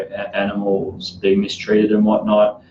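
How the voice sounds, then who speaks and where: Monotone, flat intonation from a man, set against noticeable background noise. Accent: Australian. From Australia. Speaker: podcast host, clinical trials worker. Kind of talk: casual podcast chat.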